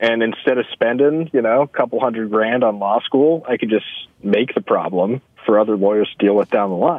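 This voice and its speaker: A man at a fairly quick pace, with ordinary pitch variation and very even loudness, in a dry sound with no echo and a quiet background. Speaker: timeshare salesman, caller. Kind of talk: casual chat. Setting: phone call. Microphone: phone line.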